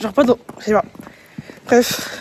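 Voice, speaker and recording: A woman speaks in an animated tone with a high pitch. Noticeable background noise sits behind her. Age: 20s. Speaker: vlogger. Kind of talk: casual vlog chat.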